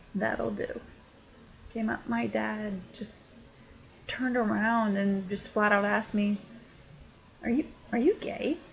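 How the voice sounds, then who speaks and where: A woman talks fairly slowly, leaving long, frequent pauses, while noticeable background noise continues. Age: 20s. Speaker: contributor sharing coming out story. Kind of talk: personal testimony.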